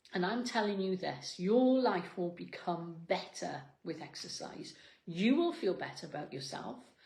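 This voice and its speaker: A woman talks in an animated tone with very wide pitch swings. Audible room echo surrounds her voice. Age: 60s. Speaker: fitness coach. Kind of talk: motivational talk. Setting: cafe.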